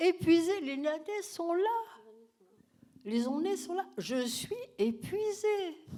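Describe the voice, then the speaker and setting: A woman at an extremely high pitch with very wide pitch swings, a dark, mellow tone, big swings in loudness, a very slow pace and long, frequent pauses. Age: old. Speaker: retired professor. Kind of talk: masterclass Q&A.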